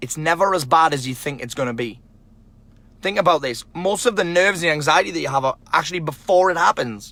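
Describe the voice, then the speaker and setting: A normal speaking voice, with lively intonation at a fairly quick pace. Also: man, fairly high pitch for a man. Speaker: self-help vlogger, author. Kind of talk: motivational vlog talk.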